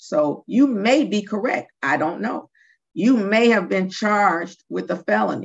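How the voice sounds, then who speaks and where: A woman speaks at a fairly slow pace with vocal fry. Behind her, the background is quiet. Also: lively intonation. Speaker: judge. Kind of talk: court sentencing hearing. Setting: video call. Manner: chatty, jokes from the bench. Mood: firm, measured. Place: office. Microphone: video call.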